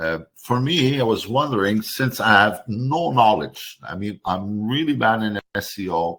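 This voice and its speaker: A man with a French accent talks at a fairly slow pace with hardly any pauses. His pitch is fairly low and his intonation is lively. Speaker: webinar attendee, customer. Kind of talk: webinar Q&A. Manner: halting.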